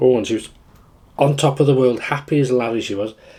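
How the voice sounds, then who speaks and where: Speaking at a fairly quick pace, a man uses fairly even intonation and a dark, mellow tone. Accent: Welsh. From Wales. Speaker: food vlogger. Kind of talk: casual chat.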